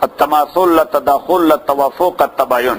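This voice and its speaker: Moderately paced male speech over noticeable background noise. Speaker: Islamic scholar teaching. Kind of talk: lecture. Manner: repetitive, questioning audience.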